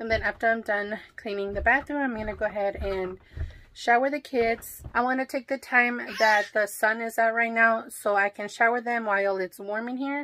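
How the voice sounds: The tone is bright and sharp. Delivery comes at a moderate pace with ordinary pitch variation. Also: woman, fairly high pitch for a woman.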